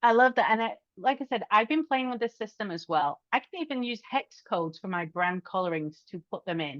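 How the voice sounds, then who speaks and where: A woman with a British accent speaks at a fairly quick pace with hardly any pauses, a fairly high pitch, and very wide pitch swings, in a dry, close sound with no echo. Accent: British accent, still noticeable. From UK. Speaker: podcast host, social media strategist. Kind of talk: interview podcast conversation.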